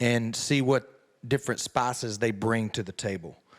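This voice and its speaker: With a rural Southern US accent, a man speaks at a medium pitch and a moderate pace with fairly even intonation on a very clean recording with a silent background. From US South. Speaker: country singer. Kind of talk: interview. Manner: hesitant, repeats words.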